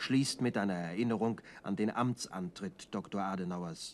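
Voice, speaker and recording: Speaking at a fairly slow pace, a man has a plain, everyday voice with ordinary pitch variation. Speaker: newsreel narrator. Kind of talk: 1960s German newsreel narration, formal and scripted. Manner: brisk, authoritative, clipped and measured delivery; solemn, declamatory, dry and objective tone.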